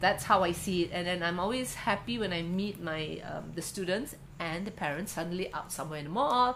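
A woman speaking at a fairly quick pace, with audible room echo. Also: fairly low pitch for a woman, ordinary pitch variation. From Indonesia. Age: 50s. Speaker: artist and craft educator. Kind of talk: interview. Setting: at home.

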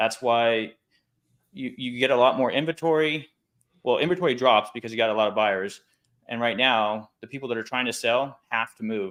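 Using a normal speaking voice, a man talks at medium pitch with ordinary pitch variation and a moderate pace. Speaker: loan officer. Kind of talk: casual chat. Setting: video call.

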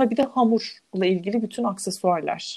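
A woman with a fairly high pitch speaks at a moderate pace with ordinary pitch variation. Her tone is dark and mellow. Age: 30s. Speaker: minimalism content creator. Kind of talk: casual chat.

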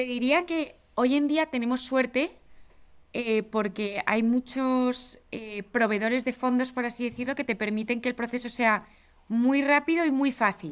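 On a very clean recording with a silent background, a high-pitched woman in a Spanish accent speaks at a fairly slow pace with ordinary pitch variation. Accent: Spanish (Spain) Spanish. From Spain. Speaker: venture capital investor. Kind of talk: interview.

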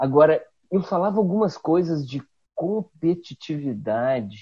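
Lively intonation rides on a dark, mellow tone. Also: man. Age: 50s. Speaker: communication scholar and public speaker. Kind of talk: casual interview chat. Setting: video call.

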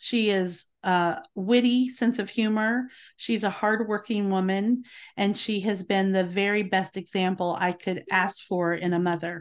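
An unremarkable speaking voice from a woman at medium pitch, fairly slow, with very even loudness, fairly even intonation and a quiet background. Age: 50s. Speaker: homemaking podcaster and homeschooling mother. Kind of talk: podcast interview.

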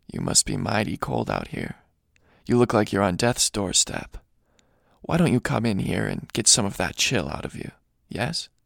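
A gravelly, put-on character voice moves at a moderate pace with long, frequent pauses, captured in a very clean recording with a silent background. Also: man, fairly low pitch for a man.

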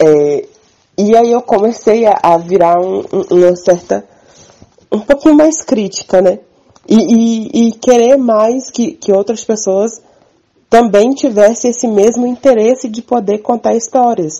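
In an ordinary speaking voice, a woman with a fairly high pitch talks at a fairly slow pace with lively intonation. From Minas Gerais, Brazil. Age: 20s. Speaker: farmer and community communicator. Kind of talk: interview testimony.

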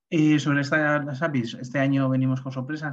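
His intonation stays monotone and flat. The speaker is a man. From Getafe, Madrid, Spain. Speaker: community organiser. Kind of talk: webinar presentation.

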